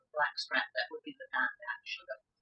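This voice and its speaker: Music can be heard in the background. A woman talks over it. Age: 80s+. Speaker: retired teacher and state legislator. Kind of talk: oral history interview. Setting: living room at home.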